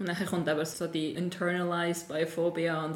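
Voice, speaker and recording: A woman speaks in a fairly low pitch with a monotone, flat delivery. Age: 20s. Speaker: musician. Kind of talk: casual chat.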